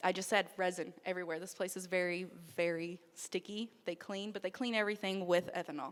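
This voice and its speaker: The woman's voice sits at a medium pitch. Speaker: conference presenter on regulatory training. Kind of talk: conference presentation. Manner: fast.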